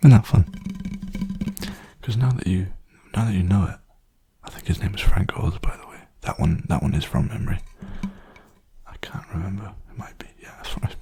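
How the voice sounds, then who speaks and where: Whispering in a relaxed tone at a fairly quick pace, with long, frequent pauses and noticeable background noise. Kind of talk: ASMR softly spoken rambling and guided meditation. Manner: soft-spoken, relaxed, rambling.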